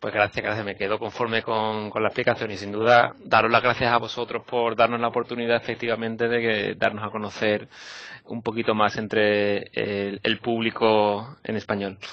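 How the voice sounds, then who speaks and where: In a Basque accent, a man with a fairly low pitch speaks at a moderate pace with monotone, flat intonation. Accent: Basque Spanish accent, noticeable. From Basque Country, Spain (Vitoria). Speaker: environmental NGO policy worker. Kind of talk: interview.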